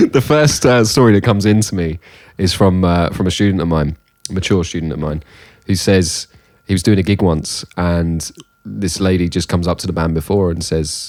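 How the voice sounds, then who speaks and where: Speaking with a British accent at a fairly quick pace, a man has a very deep, low pitch. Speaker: music podcast co-host; music teacher. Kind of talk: casual chat.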